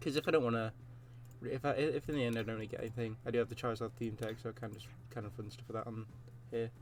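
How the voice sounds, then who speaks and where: A very fast, somewhat breathy delivery with fairly even intonation. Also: man, medium pitch for a man. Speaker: gaming youtuber. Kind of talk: gameplay commentary. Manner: halting. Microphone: recording quality may be poor, new PC setup.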